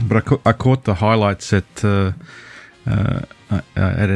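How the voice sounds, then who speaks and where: Speaking with an Australian accent, a man keeps a fairly low pitch and fairly even intonation. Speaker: podcast guest, NFL fan. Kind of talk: casual chat. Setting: remote call from Australia, early morning. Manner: halting, many fillers.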